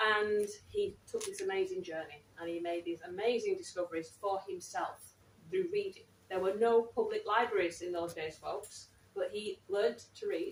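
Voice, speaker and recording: At a moderate pace, a woman talks with a slight Manchester accent. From Manchester, northern England. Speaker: writer in residence and event interviewer. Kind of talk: live public talk and interview. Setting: library event with live audience, live-streamed.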